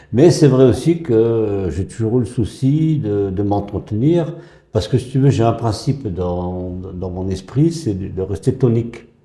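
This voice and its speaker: A man with a dark, mellow tone speaks at a fairly slow pace, somewhat breathy. His intonation is lively, and audible room echo is present. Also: medium pitch for a man. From northern France (Pas-de-Calais). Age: 80s+. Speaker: retired school headteacher. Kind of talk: casual interview. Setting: gym. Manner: halting, many hesitations.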